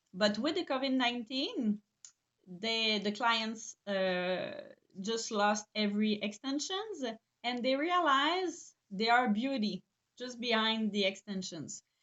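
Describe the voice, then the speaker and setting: In a Quebec accent, a woman speaks at a very slow pace in a fairly high pitch, her intonation lively. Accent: Québécois French accent in English. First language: French. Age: 40s. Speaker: eyelash extension trainer and business owner. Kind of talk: live webinar presentation. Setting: online live stream. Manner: halting, many fillers.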